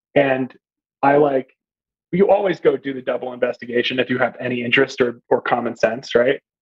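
With ordinary pitch variation and a medium pitch, a man talks in a plain, everyday voice. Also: fairly quick pace. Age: 30s. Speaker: journalism graduate student. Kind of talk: casual chat.

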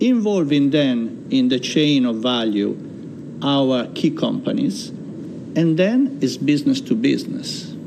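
Someone with an Italian accent speaks at a fairly slow pace amid audible room echo and noticeable background noise. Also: man. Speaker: chamber of commerce chairman. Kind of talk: interview. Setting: studio.

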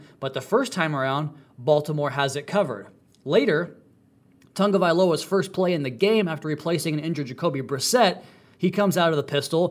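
Excited in tone, a man talks at a fairly quick pace and fairly high pitch. His pitch variation is ordinary, and the recording is very clean with a silent background. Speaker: podcast host covering football. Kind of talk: podcast analysis of game film. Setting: studio. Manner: fast talker, excited.

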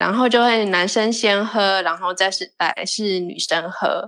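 A woman talks at a fairly slow pace. She has a plain, everyday voice. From Taiwan. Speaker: percussionist. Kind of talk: casual chat.

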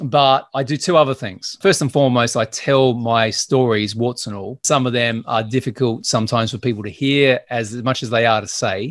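Medium-pitched male speech with an Australian accent, a moderate pace, hardly any pauses and ordinary pitch variation, on a very clean recording with a silent background. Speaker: business growth consultant and podcast host. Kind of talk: interview.

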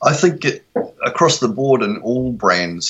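Fairly slow delivery in a New Zealand accent. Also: man. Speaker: photographer and social media strategist. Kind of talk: interview. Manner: hesitant, many fillers.

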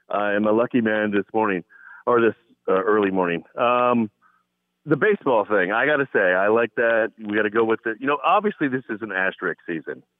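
In an American accent, a man with a medium pitch and an unremarkable speaking voice talks at a fairly quick pace with ordinary pitch variation. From Southern California. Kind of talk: casual sports talk. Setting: phone call, headset.

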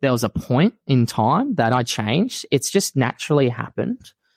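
An Australian accent in a dry, close sound with no echo. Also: man. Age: 30s. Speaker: elite fitness racing athlete and coach. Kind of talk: casual chat. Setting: video call.

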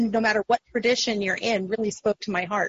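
Somewhat breathy, a woman talks with a fairly high pitch. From Texas. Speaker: Wiccan high priestess and clergy member. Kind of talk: casual interview chat.

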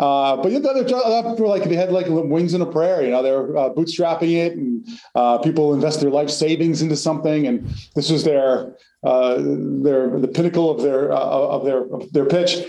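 A man with an American accent talks at a moderate pace in a dark, mellow tone with lively intonation and very even loudness. Audible room echo fills the recording. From US Northeast, North Jersey. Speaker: company founder. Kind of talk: interview.

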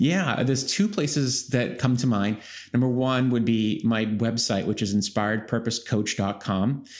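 A man at medium pitch with ordinary pitch variation and very even loudness. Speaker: executive coach and author. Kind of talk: interview. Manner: deliberately slow, calm pace.

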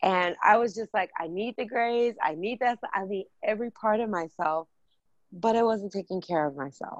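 Over a quiet background, a woman at medium pitch talks at a moderate pace with ordinary pitch variation, in a dry, close sound with no echo. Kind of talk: interview about self love.

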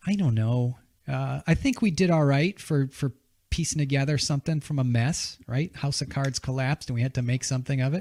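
This man speaks at a moderate pace in a fairly high, somewhat breathy voice. The recording is very clean, with a silent background. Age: 40s. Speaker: podcast host, veteran. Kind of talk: casual chat. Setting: studio. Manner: animated.

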